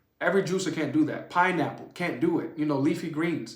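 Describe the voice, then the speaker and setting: A man speaks at a fairly quick pace in a high voice with a New Orleans accent. His tone is animated, and the room echo is audible. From New Orleans, US South. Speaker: juicing channel host. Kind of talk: live stream Q&A. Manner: fast.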